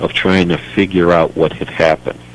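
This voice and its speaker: A man talks with a very deep, low pitch and lively intonation. Noticeable background noise runs underneath. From United States. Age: 60s. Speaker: political activist. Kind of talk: radio interview.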